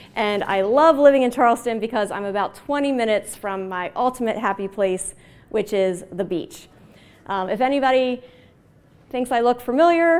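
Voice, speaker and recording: Using lively intonation, a woman with an American accent talks at a moderate pace in a high pitch. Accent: Baltimore accent, occasional. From Baltimore, Maryland. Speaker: agile consultant and trainer. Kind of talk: conference talk. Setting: stage with audience. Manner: casual.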